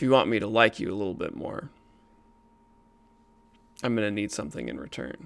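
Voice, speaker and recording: Doing a put-on character voice, a man talks fairly quickly in a gravelly, fairly low register with lively intonation, broken by long, frequent pauses. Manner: menacing, venomous.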